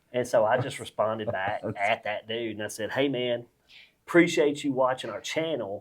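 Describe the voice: A man with a Mississippi accent at a medium pitch and moderate pace, with ordinary pitch variation. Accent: Mississippi Southern.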